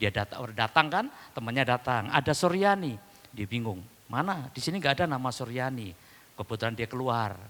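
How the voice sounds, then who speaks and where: The tone is bright and sharp in a Javanese accent, the pace fairly quick and the intonation lively. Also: man, medium pitch for a man. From East Java, Indonesia (Dayak from Central Kalimantan). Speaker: pastor. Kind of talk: sermon. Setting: church.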